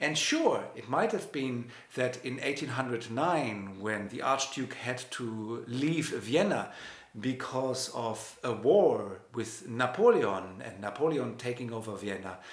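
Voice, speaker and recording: In a German accent, a man speaks at a very slow pace and medium pitch with lively intonation and a relaxed tone, amid audible room echo and noticeable background noise. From Germany, Hanover. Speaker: pianist and music professor. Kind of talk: lecture. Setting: live stream. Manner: relaxed conversational with hesitations.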